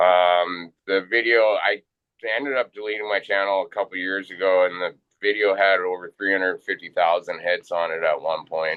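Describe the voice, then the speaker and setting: With a Canadian accent, a man talks in an ordinary speaking voice, fairly low in pitch, at a moderate pace with fairly even intonation. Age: 40s. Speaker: fishing guide. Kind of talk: casual chat.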